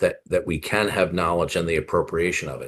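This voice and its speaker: This man's voice is very deep and low in pitch, and somewhat breathy. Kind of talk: heated debate. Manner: stutters sometimes.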